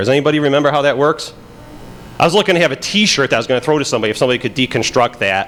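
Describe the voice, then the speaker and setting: A man speaks in a fairly high pitch with an American accent, noticeable background noise behind him. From Pittsburgh, Pennsylvania. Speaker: FBI agent and conference speaker. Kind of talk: conference talk. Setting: stage with audience. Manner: halting, many fillers.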